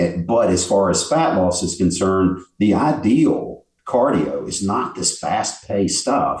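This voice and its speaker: This man has a normal speaking voice, fairly low in pitch, with lively intonation. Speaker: bodybuilder and fitness expert. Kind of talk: casual interview.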